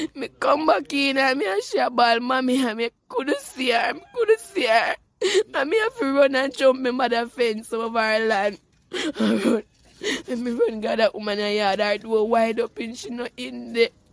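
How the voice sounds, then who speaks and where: A woman talks at a moderate pace with a Jamaican accent. Her voice is high, with ordinary pitch variation. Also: dry, close sound with no echo. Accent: Jamaican Patois. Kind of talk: news interview answer.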